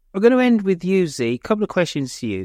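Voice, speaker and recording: In a Birmingham accent, a voice moves through very wide pitch swings, recorded dry and close with no echo on a very clean recording with a silent background. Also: man. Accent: Birmingham (Brummie) English. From Birmingham, England. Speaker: podcast host. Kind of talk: panel discussion. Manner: animated.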